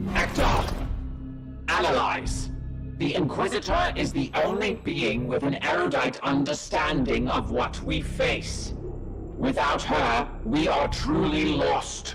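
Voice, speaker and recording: Through loud background noise, a man does a cartoonish character voice at a fairly slow pace. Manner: clipped, mechanical, unemotional.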